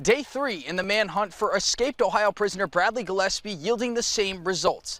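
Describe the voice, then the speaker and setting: A man speaks in a high voice with an American accent. His pitch varies in an ordinary way. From New York State, Warwick. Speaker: TV news reporter. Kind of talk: news report; live shot. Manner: casual.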